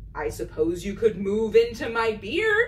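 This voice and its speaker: Over clear background noise, someone performs in a put-on character voice. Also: moderate pace. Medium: read story.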